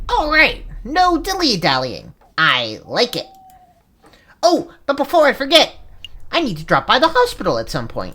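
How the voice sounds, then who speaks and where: At a moderate pace, a female-sounding, put-on character voice speaks with long, frequent pauses. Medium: game stream. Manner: excitable, chatty.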